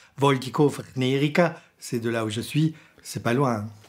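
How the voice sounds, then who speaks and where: Speaking very slowly, a man talks with an Alsatian accent. His pitch is fairly high and his intonation fairly even. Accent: Sundgau Alsatian. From Sundgau, southern Alsace, France. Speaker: radio programme director. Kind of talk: interview monologue. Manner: halting, with many hesitations.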